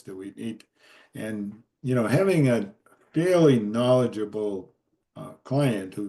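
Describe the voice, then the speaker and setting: Against a quiet background, a dark, mellow voice moves at a very slow pace. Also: man. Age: 70s. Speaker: retired forester and timber tax consultant. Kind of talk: Q&A after a workshop. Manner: halting, many fillers.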